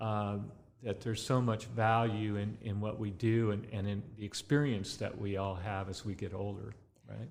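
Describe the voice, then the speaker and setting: The speaker has a Californian accent and fairly even intonation. The pace is moderate. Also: man, fairly low pitch for a man. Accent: Californian American. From Southern California, Ventura County. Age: 60s. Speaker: winemaker and grape grower. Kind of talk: interview. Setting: tasting room. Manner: relaxed with many fillers.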